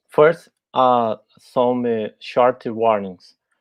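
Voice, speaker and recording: With a Portuguese accent, a man talks at a medium pitch. His pace is very slow. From Brazil. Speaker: tech talk speaker. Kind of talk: tech talk. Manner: halting.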